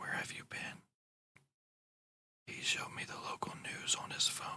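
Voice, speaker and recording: A whispered voice with a soothing tone moves at a fairly slow pace. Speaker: ASMR channel host. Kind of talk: whispered horror story reading. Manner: whispered, soothing.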